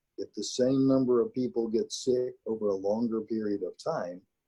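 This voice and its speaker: A man with a Texas accent, his sound dry and close with no echo. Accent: Texas drawl. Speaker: county judge. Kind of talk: briefing on a forum call. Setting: conference call.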